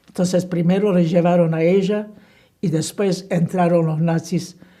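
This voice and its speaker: This woman's voice is fairly low, dark and mellow, and somewhat breathy, delivered at a very slow pace in a flat monotone. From Slovakia. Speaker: Holocaust survivor. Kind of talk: oral history interview answer.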